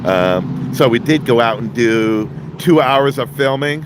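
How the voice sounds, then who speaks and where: A man speaks over noticeable background noise. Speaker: street scene livestreamer and delivery driver. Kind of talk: live commentary. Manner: loud; halting.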